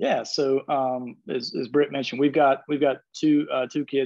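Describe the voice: A slightly mellow tone with vocal fry, a fairly quick pace and little pitch movement. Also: man.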